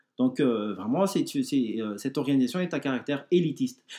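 A man is speaking. His pitch is fairly high. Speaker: blog administrator, Bible podcast co-host. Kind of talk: explanatory discussion. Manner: halting, many hesitations.

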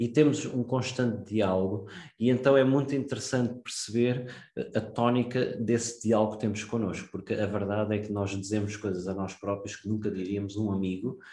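At a moderate pace, a man with a European Portuguese accent speaks with fairly even intonation, a fairly low pitch, and a dark, mellow tone. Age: 30s. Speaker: investment podcast host. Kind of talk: solo podcast monologue. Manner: hesitant, many fillers and repetitions.

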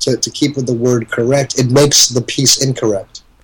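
The man's voice sits at a medium pitch and sounds somewhat breathy. His intonation is monotone and flat. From Nigeria, then Canada from age 12. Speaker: poet. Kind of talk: casual interview. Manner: halting.

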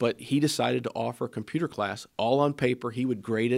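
A man with a plain, everyday voice talks at a fairly quick pace and medium pitch, using ordinary pitch variation. The recording is very clean, the background silent. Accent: American. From Ohio, Springfield area. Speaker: state legislator and manufacturing business owner. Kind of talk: interview.

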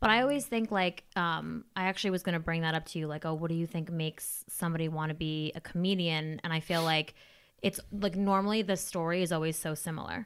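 In a very clean recording with a silent background, a woman talks at a very fast pace in a fairly low voice. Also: ordinary pitch variation. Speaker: podcast host. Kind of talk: casual chat, interview.

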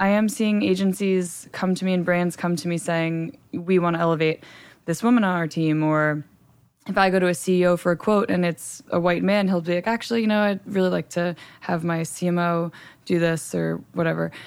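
A normal speaking voice with fairly even intonation, delivered at a fairly quick pace. The recording is very clean, with a silent background. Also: woman, fairly low pitch for a woman. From New Jersey, US. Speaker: trade magazine editor. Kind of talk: interview.

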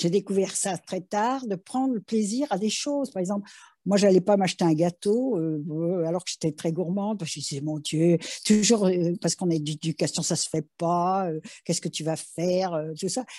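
Over a quiet background, a woman speaks at a moderate pace with a dark, mellow tone. Her pitch is medium, with ordinary variation. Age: 70s. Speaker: interviewee sharing life story. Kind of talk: testimony. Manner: halting.

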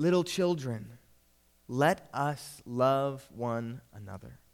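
Shaky and very slow, a man puts on a character voice at a medium pitch.

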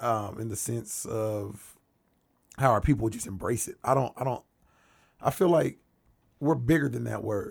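On a very clean recording with a silent background, a man with an American accent speaks at a medium pitch and moderate pace, somewhat breathy, with ordinary pitch variation and long, frequent pauses. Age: 20s. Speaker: podcast guest. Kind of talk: casual chat.

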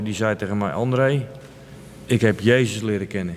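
A man with a fairly low voice speaks at a moderate pace. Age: 50s. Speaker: recovering addict sharing faith story. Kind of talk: interview testimony. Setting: village church. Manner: halting.

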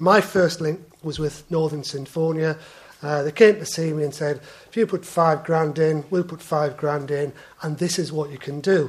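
A man at a fairly high pitch and moderate pace, fairly even intonation, noticeable background noise behind him. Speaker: water company executive, sponsor of arts. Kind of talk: conference presentation.

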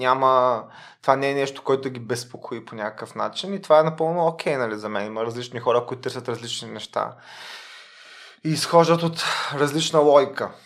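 A man of medium pitch speaks with ordinary pitch variation and big swings in loudness. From Bulgaria, Varna. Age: 30s. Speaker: lawyer. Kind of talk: interview. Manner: halting.

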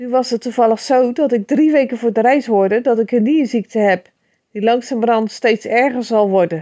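Speaking at a moderate pace, a woman with a fairly high voice and a dark, mellow tone shows ordinary pitch variation. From Netherlands, Rotterdam area. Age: 50s. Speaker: poet. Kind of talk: casual talk.

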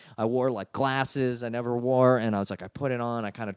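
An ordinary speaking voice, a man with an American accent and medium pitch at a fairly quick pace, the sound dry and close with no echo in a very clean recording over a silent background. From Washington DC area. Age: 30s. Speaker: comedian. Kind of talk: casual chat.

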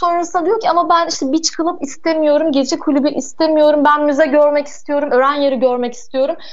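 A woman with a high pitch speaks at a fairly quick pace and with fairly even intonation. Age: 20s. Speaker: boutique hotel operator. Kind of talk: radio interview.

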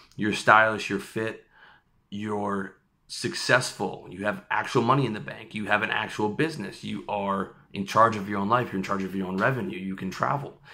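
In a very clean recording with a silent background, a man with a bright, sharp tone and fairly low pitch talks at a moderate pace with ordinary pitch variation. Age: 30s. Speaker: lifestyle and dating coach. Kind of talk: vlog monologue. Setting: on location, off own setup. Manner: casual.

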